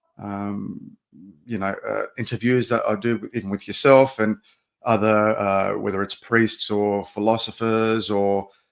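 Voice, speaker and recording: A man with an Australian accent and a fairly low pitch talks at a moderate pace. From Australia, Sydney. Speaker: podcast producer and pro wrestler. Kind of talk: casual chat.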